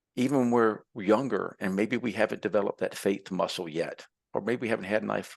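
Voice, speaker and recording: A plain, everyday voice moves at a fairly quick pace with ordinary pitch variation, recorded with a dry, close sound with no echo over a quiet background. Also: man. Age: 60s. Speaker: entrepreneur and tradesman. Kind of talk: podcast interview.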